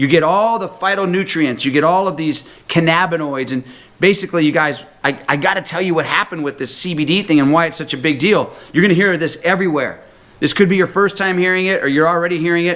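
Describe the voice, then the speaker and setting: Using a high pitch, a man speaks at a very fast pace with ordinary pitch variation. His tone is animated. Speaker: health talk presenter. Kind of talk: sales pitch.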